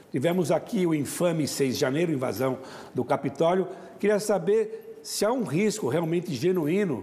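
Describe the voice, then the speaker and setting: A man with lively intonation at a moderate pace, amid noticeable background noise. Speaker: international affairs commentator. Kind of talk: talk show discussion.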